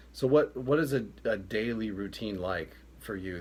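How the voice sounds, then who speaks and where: A man's pitch swings very widely, and vocal fry colors his voice. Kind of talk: interviewer, casual.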